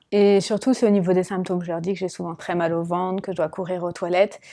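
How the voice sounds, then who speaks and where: A woman's unremarkable speaking voice, medium pitch, fairly even intonation. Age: 30s. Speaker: patient testimony, volunteer. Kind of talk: testimony interview. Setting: at a trade fair.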